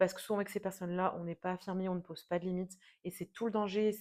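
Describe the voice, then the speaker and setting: A woman talks fairly quickly, her medium pitch held in fairly even intonation. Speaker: tarot reader. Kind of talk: tarot reading monologue. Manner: hesitant, many fillers.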